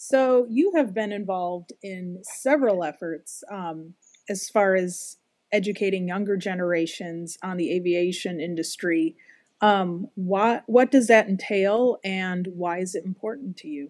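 A plain, everyday voice at a fairly slow pace, with ordinary pitch variation, big swings in loudness, and a dry, echo-free sound over a quiet background. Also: woman, medium pitch for a woman. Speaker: podcast co-host. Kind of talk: casual interview. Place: home room. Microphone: video call.

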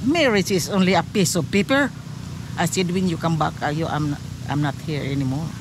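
A woman speaks at a fairly quick pace with a Filipino accent, her pitch fairly low and her intonation lively. The sound is dry with no echo, and there is noticeable background noise. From Philippines. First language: Filipino language. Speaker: interviewee, widow; interviewee. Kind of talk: storytelling. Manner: animated. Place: beach. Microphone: phone near.

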